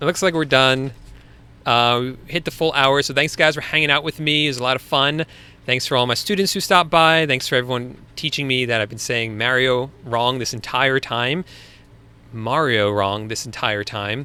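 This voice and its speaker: Bright and sharp in tone, a man's medium-pitched voice carries a Long Island accent. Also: ordinary pitch variation, moderate pace. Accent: Long Island accent, sometimes. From US Northeast, Long Island. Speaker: online business coach, live stream host. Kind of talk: live Q&A stream. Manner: casual, conversational.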